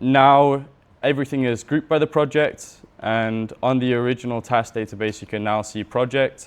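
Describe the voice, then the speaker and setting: At a moderate pace, a man speaks in an ordinary speaking voice, keeping a medium pitch and fairly even intonation. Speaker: systems and Notion consultant. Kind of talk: workshop talk with live demo. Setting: room with audience.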